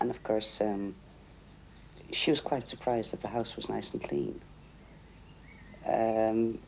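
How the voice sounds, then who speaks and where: In an Irish accent, a man speaks at a fairly slow pace with long, frequent pauses. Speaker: interviewee. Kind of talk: documentary interview.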